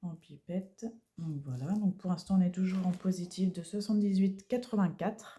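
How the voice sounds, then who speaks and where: A soft-spoken woman with a fairly low pitch and a dark, mellow tone talks at a fairly slow pace, her voice somewhat breathy. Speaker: budgeting vlogger. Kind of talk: casual vlog. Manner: halting.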